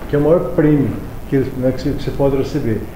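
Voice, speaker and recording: Noticeable background noise and audible room echo around a man's fairly high-pitched voice. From Paraná, Brazil. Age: 60s. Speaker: amateur triathlete and physical education teacher. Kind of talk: interview.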